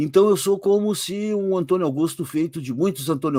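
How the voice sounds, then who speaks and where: Moderate pace with ordinary pitch variation. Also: man. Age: 60s. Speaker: occultist author. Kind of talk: interview on live podcast. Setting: live stream.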